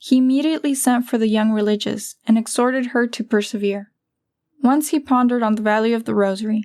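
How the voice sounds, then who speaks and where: A woman with an unremarkable speaking voice, fairly high in pitch, fairly quick, and fairly even in intonation. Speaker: audiobook narrator. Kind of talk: religious audiobook narration.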